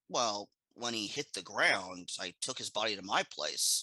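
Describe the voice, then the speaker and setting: A man puts on a raspy character voice, fairly low in pitch. He keeps a moderate pace and fairly even intonation. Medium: comedy sketch. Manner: offhand, deadpan.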